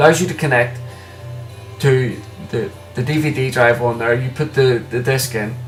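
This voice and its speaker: Music plays behind a man who speaks with long, frequent pauses. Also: medium pitch for a man, fairly even intonation, moderate pace. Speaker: tech reviewer. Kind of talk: casual product review to camera. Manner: stuttering, hesitant.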